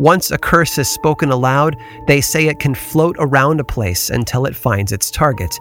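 A man speaks with an American accent at a moderate pace, his pitch fairly high. His pitch varies in an ordinary way, with music playing in the background. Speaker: podcast narrator. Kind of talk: true-crime horror narration. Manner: measured, grave, hushed, suspenseful.

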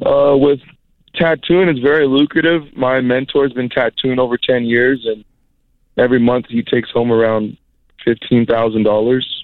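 A man talks at a moderate pace in a plain, everyday voice of medium pitch, with fairly even intonation and very even loudness. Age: 20s. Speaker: apprentice tattoo artist. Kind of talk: phone call-in.

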